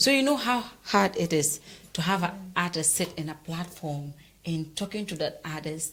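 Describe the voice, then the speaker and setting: A woman with a fairly low pitch talks at a moderate pace with lively intonation. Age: young. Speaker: journalist and show host. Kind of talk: interview.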